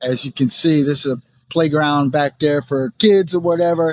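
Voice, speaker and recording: A man talks fairly slowly, the sound dry and close with no echo at all. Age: 70s. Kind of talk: casual talk to camera while walking. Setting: outdoors.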